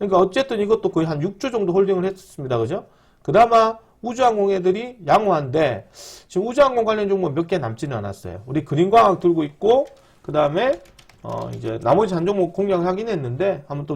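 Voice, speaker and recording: This man's pitch is high and swings very widely. He talks at a very fast pace. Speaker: stock market YouTuber. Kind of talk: stock market commentary.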